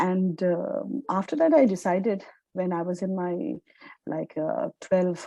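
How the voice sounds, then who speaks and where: With a Bengali accent, a woman speaks at medium pitch in a dark, mellow tone, the sound dry and close with no echo. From India, Calcutta. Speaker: journalist and author. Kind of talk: interview.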